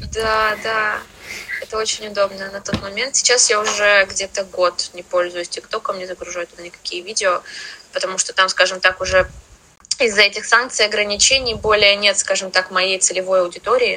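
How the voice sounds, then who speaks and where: A woman talks at medium pitch and a moderate pace, in a flat monotone. Her loudness swings widely, with noticeable background noise behind her. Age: 20s. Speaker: English teacher and language school founder. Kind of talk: podcast interview. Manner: halting.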